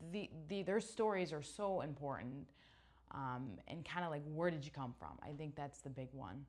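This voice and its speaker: With a slight Chicago accent, a woman speaks at a moderate pace in a very deep, low voice full of lively intonation. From US Midwest, Chicago area (Naperville, Illinois). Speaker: middle school teacher. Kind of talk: interview. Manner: casual, hesitant with fillers.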